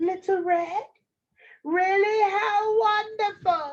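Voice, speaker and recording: This female-sounding put-on character voice is squeaky and extremely high in pitch, moving at a very slow pace. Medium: read story.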